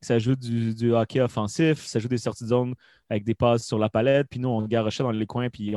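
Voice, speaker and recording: The sound is dry and close with no echo, and the background is quiet. A man talks at a very fast pace with medium pitch and fairly even intonation. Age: 20s. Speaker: hockey commentator. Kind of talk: casual chat.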